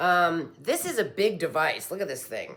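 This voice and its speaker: A woman talks at a moderate pace. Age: 60s. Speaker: product reviewer. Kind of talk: casual product review. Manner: halting, many fillers.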